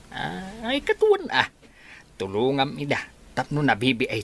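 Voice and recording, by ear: A man puts on a character voice at a medium pitch. He talks fairly slowly, and his pitch swings very widely.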